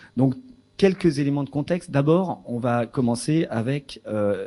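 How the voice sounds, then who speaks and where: A man with a dark, mellow tone speaks at a fairly slow pace against a quiet background. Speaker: researcher in philosophy for children. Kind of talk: lecture. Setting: lecture hall with audience. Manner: hesitant, many fillers.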